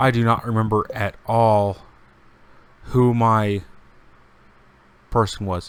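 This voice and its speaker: A man with a medium-pitched voice speaks at a very slow pace in a calm, relaxed tone. Noticeable background noise runs behind him. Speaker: game streamer. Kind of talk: casual gameplay stream chat. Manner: monotone.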